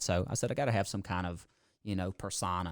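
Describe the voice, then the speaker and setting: In a very clean recording with a silent background, a man with a Mississippi accent speaks at a fairly low pitch. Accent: Southern Mississippi. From US South, Mississippi (George County). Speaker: car dealership owner. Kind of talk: casual chat. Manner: animated.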